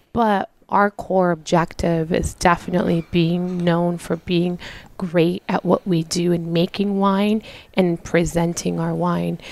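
Her delivery is monotone and flat, at a fairly slow pace. This woman's pitch sits fairly low. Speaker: winery owner. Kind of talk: casual interview chat.

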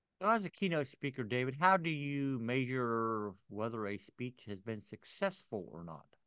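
With a bright, sharp tone, a man at a medium pitch speaks at a moderate pace, his pitch swinging very widely and his loudness shifting in big swings. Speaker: podcast host. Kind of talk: interview, conversational.

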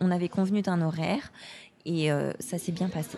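In a dark, mellow tone, a woman speaks at a medium pitch and moderate pace, somewhat breathy, with fairly even intonation. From France, Haute-Savoie. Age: 30s. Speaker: outdoor sports enthusiast. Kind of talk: casual interview.

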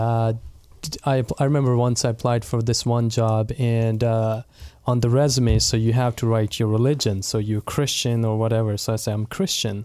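Speaking at a moderate pace, a man with a Pakistani Punjabi accent has a medium pitch, a dark, mellow tone and fairly even intonation. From Pakistan, Punjab (Multan). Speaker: associate pastor. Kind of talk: casual chat.

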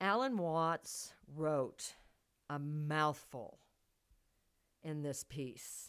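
Very slow, American-accented speech broken by long, frequent pauses. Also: woman, very deep, low pitch for a woman, ordinary pitch variation. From US Midwest, Missouri. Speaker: podcast host and thriller writer. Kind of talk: casual monologue.

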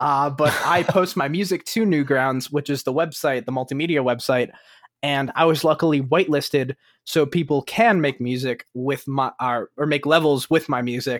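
A man speaks in a plain, everyday voice at a fairly high pitch and a moderate pace, with ordinary pitch variation, in a very clean recording with a silent background and a dry, close sound with no echo. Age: young. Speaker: music producer. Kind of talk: interview.

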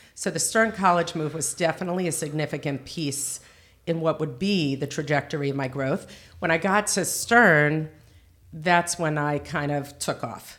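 In a New Jersey accent, a woman talks at a moderate pace with a very deep, low pitch and ordinary pitch variation, on a very clean recording with a silent background. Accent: American, New Jersey. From US, Teaneck, New Jersey. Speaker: seminary director. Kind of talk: casual interview.

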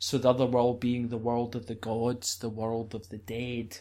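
A man with a Scottish accent speaks on a very clean recording with a silent background. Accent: Scottish, rolls R's. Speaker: druid. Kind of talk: interview, storytelling. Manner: hesitant, many fillers.

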